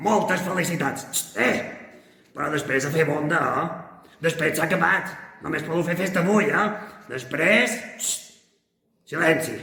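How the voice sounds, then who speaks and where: With a clear echo and long, frequent pauses, a man performs a cartoonish character voice pitched high. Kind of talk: children's puppet greeting. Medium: puppet. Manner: scolding, playful.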